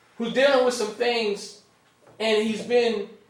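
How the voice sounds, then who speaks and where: In a room with audible echo, a man speaks very slowly at an extremely high pitch. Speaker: minister. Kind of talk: sermon. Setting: room with live audience.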